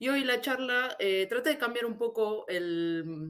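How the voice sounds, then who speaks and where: A woman talks with an Argentine accent. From Argentina. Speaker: SEO specialist. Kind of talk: conference talk. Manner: hesitant, frequent repetitions.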